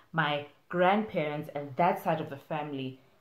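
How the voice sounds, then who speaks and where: Audible room echo surrounds a woman with a very deep, low pitch who speaks at a moderate pace with ordinary pitch variation. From Zimbabwe (Bulawayo). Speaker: vlogger. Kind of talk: casual Q&A chat.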